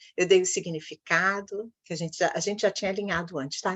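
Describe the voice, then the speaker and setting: This is a woman speaking at a medium pitch. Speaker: coach / workshop host. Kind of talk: online workshop talk. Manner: animated.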